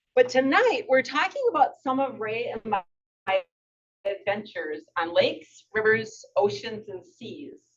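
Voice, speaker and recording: Speaking at a fairly slow pace, a woman uses a high pitch with very wide pitch swings and big swings in loudness. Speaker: retired adventurer and author. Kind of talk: public talk. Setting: museum talk with audience.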